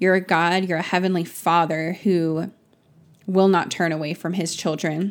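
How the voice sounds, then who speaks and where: At a moderate pace, a woman talks in a fairly low pitch. Her intonation is monotone and flat. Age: 20s. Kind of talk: fervent spoken prayer, intimate and pleading; casual faith podcast monologue. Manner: earnest, imploring, repeated 'God' and 'Lord' addresses; chatty with frequent laughs and 'um' fillers.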